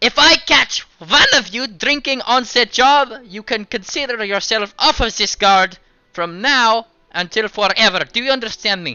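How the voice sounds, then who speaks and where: A loud, gruff, put-on character voice pitched fairly high. It moves at a moderate pace. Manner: threatening, commanding.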